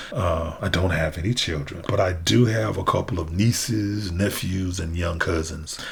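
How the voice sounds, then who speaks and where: A man with a Southern US accent speaks at a very deep, low pitch with ordinary pitch variation and hardly any pauses, amid audible room echo and noticeable background noise. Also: moderate pace. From US South. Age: 60s. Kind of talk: inspirational monologue. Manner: halting.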